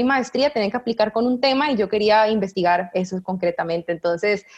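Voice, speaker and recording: Lively intonation at a fairly quick pace. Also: woman. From Costa Rica, San José. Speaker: researcher. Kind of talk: interview. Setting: video call. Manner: animated.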